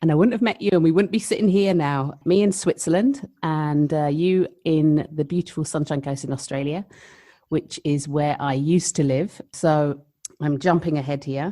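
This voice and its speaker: On a very clean recording with a silent background, a woman with a London accent speaks at a moderate pace in a dark, mellow tone, her very deep, low pitch showing ordinary variation. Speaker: midwife, podcast co-host. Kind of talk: casual chat.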